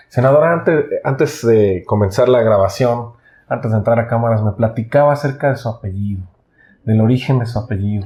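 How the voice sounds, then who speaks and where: A man with a Mexican accent at a fairly quick pace, somewhat breathy, dark and mellow in tone, at medium pitch with ordinary pitch variation. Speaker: interviewer for a publisher. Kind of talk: interview. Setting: on camera.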